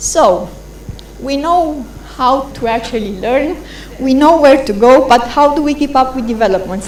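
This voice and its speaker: Ordinary pitch variation from a woman, amid audible room echo and noticeable background noise. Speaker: conference presenter on internet governance. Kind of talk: conference presentation. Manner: fast.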